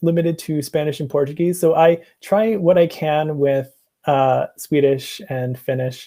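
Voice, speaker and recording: A man's dark, mellow voice at a moderate pace, in a strong American accent. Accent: heavy American. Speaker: museum researcher and presenter. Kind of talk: casual chat. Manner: halting, many fillers.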